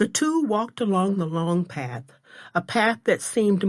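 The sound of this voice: Pitch variation is ordinary in this unforced reading voice.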